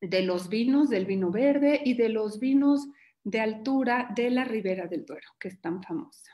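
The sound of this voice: At a moderate pace, a woman speaks with lively intonation and a fairly high pitch.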